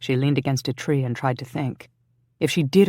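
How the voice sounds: Over a quiet background comes a natural reading voice with fairly even intonation.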